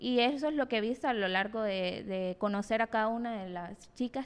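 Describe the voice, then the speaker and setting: Against a quiet background, a woman with an unremarkable speaking voice talks at a fairly quick pace, her fairly high pitch showing ordinary variation. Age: 20s. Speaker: pole dancer. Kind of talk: casual chat.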